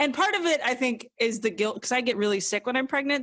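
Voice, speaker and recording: A woman talks at a fairly quick pace with an American accent, her tone animated. Her intonation is lively, and the sound is dry and close with no echo. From US South, southwest Louisiana. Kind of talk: casual interview chat. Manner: fast, animated.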